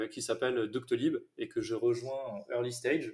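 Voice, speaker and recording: A man talks at a fairly slow pace. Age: 30s. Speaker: head of sales. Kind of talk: interview.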